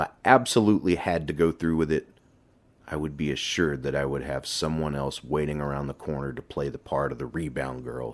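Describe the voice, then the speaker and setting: In a put-on character voice, the speaker rasps along at a fairly quick pace. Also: man, very deep, low pitch for a man. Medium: read story.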